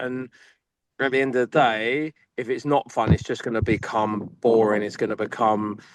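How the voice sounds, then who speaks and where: The sound is dry and close, with no echo. A man is talking in an English accent. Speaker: academy football coach. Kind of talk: panel discussion. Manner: loud; animated.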